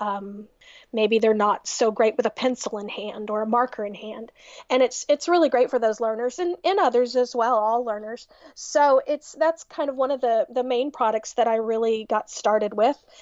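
The speaker has a Texan accent and ordinary pitch variation. The pace is moderate. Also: woman, fairly high pitch for a woman. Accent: Texan American. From Texas, US. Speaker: music teacher. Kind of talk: casual interview chat.

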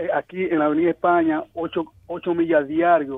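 The man has a high pitch and talks at a moderate pace. His intonation is monotone and flat. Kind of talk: polite call-in question. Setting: phone call.

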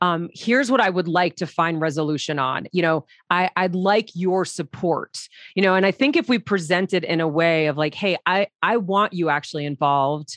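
A woman with a plain, everyday voice speaks at a moderate pace and a fairly low pitch, using ordinary pitch variation. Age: 40s. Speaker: podcast host. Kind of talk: interview.

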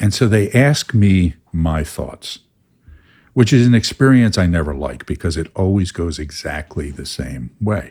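A man with a very deep, low, somewhat breathy voice speaks at a fairly slow pace with very wide pitch swings on a very clean recording with a silent background. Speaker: podcast host and Enneagram teacher. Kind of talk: casual explanatory podcast talk.

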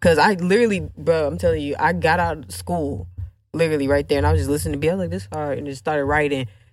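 Speech at a very fast pace shows vocal fry, very wide pitch swings and big swings in loudness. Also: woman, very deep, low pitch for a woman. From US South (Alabama, moved around, incl. Texas). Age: 20s. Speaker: content creator and rapper. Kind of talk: casual interview chat.

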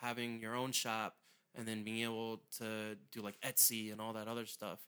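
A man with an American accent talks at a moderate pace in a medium pitch, his tone bright and sharp. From southern Maryland, US. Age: 30s. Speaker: podcast host. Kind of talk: casual interview.

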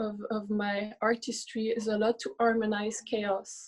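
Somewhat breathy and fairly high-pitched, a woman speaks at a fairly slow pace. Her intonation is monotone and flat. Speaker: artist. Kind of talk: panel discussion. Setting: video call. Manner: halting.

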